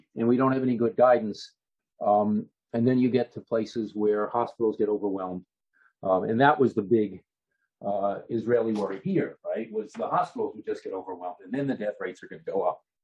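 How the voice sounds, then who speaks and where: A man with an American accent talks at a fairly quick pace and medium pitch. His pitch variation is ordinary, but his loudness swings widely. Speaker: professor. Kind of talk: lecture. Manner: fast.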